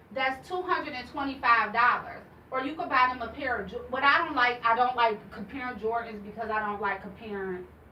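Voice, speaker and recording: A woman talks at a fairly quick pace with hardly any pauses, her high voice animated, with ordinary pitch variation. Audible room echo and noticeable background noise surround her. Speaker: salon owner and youth program founder. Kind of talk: casual interview.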